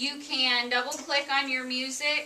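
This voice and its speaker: A loud woman with a high pitch and a bright, sharp tone speaks at a very slow pace with fairly even intonation, and audible room echo surrounds her. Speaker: teacher. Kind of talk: classroom instruction.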